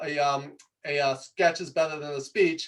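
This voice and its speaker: The speaker, a man, has a New York accent. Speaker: presentation coach. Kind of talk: talk to audience. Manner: fast; animated.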